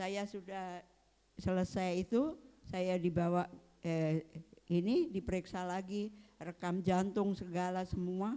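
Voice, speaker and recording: A woman speaks at a very slow pace with long, frequent pauses. Her medium pitch varies in an ordinary way, with a dark, mellow tone. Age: 70s. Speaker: church member giving testimony. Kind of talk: testimony. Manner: halting.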